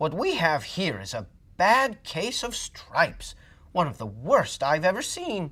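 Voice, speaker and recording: The speaker uses a put-on character voice at a fairly slow pace. Its pitch stays in the middle range. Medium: read story. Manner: gentle, kindly.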